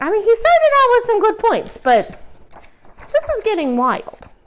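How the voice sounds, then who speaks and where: In a put-on character voice, a woman speaks in an extremely high, squeaky pitch with very wide pitch swings. Her tone is warm and playful, at a moderate pace. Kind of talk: children's read-aloud. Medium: read story. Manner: warm, playful.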